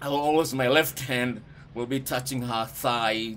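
At a moderate pace, a man is talking. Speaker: speaker. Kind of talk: casual advice talk to camera. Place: home room. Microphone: phone near.

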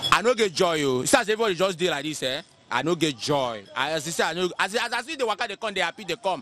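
Faint music plays in the background as a high-pitched man speaks with a dry sound with no echo. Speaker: interviewee. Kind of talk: interview answer. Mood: complaining, frustrated about economy. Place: street. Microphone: handheld.

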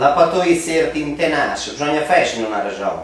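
There's audible room echo as a man speaks with lively intonation at a fairly slow pace. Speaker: dialect poet. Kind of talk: poetry reading in Romagnolo dialect. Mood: wry, ironic Christmas satire. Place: home room. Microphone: camera far.

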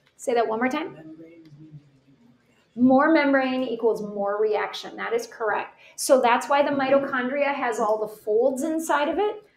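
Audible room echo surrounds a woman's high voice as she speaks at a fairly slow pace. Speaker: teacher. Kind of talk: lecture. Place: home room. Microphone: webcam.

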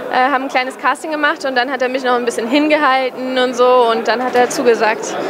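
Crowd noise fills the background as a woman with a high pitch races along at a very fast pace, with hardly any pauses and fairly even intonation. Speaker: actress. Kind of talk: event interview. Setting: cinema premiere event. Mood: happy, friendly. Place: hall. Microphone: handheld.

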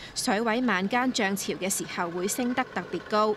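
A woman at a medium pitch and fairly slow pace, with ordinary pitch variation and a plain, everyday voice. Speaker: news reporter. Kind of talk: news report narration.

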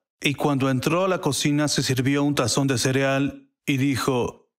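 This is a man with an English accent. His pitch is fairly high. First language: English (speaking Spanish). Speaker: prophetic minister. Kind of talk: testimony.

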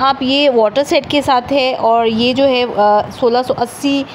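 Very slow in pace, a woman speaks at a high pitch with ordinary pitch variation over light background noise. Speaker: vlogger. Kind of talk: shopping vlog walkthrough. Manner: loud. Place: shop. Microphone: phone near.

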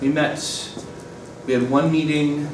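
Fairly even intonation with audible room echo and noticeable background noise. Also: man. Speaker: board member giving committee report. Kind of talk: meeting report. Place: classroom. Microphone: camera far.

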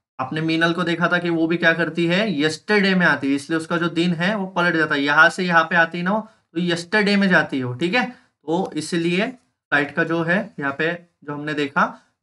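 A man's high-pitched voice has a bright, sharp tone. He keeps a moderate pace against a quiet background. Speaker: online school teacher. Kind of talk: live online lecture; sales pitch. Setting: live stream. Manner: animated.

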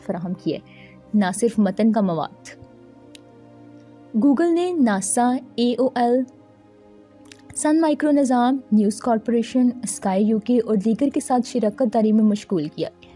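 The voice shows ordinary pitch variation, with music in the background. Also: woman. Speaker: voice actor. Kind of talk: documentary narration.

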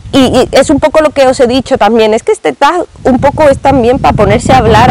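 A woman talks at a fairly quick pace in a dry sound with no echo, with noticeable background noise. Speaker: book vlogger. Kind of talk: casual vlog chat. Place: garden. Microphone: lapel.

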